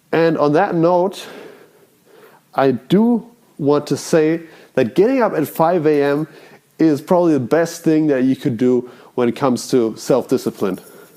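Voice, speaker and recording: At a fairly slow pace with long, frequent pauses, a man with a non-native accent speaks in a fairly high, dark, mellow voice, his intonation lively and his loudness very even. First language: not English. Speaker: self-improvement vlogger. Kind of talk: casual monologue. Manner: rambling, halting.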